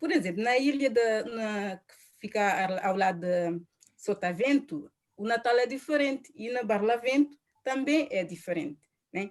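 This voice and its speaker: Speaking with a Cape Verdean accent, a woman uses a fairly high pitch and lively intonation at a fairly slow pace. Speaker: panel guest. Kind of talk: casual presentation.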